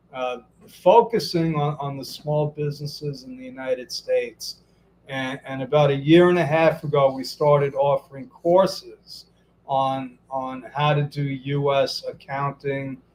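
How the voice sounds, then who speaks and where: A fairly high-pitched man's voice in a Brooklyn accent, with fairly even intonation and big swings in loudness. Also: fairly slow pace. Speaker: business coach and interview host. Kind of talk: live interview. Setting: Facebook Live video stream. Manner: halting, frequent repetitions.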